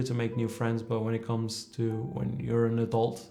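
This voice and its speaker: With audible room echo and noticeable background noise, a man speaks at a fairly quick pace and a medium pitch. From Portugal, then London from age 14. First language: Portuguese. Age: 30s. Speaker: amateur footballer. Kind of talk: documentary interview.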